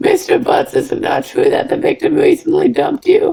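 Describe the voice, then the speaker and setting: Putting on a raspy character voice at an extremely high pitch, a man speaks at a moderate pace. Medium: game stream. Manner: smug, pressing.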